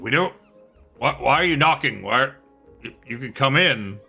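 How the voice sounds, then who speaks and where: A man puts on a gruff character voice with lively intonation and big swings in loudness. He keeps a moderate pace while faint music plays in the background. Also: medium pitch for a man. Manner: irritated, brusque.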